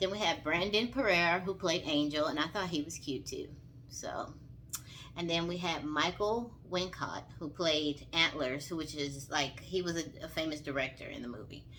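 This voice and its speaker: Bright, sharp tone from a woman with a Southern accent, moderate pace, ordinary pitch variation. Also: fairly low pitch for a woman. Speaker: vlogger, movie reviewer. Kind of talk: casual movie review vlog. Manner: animated, informal.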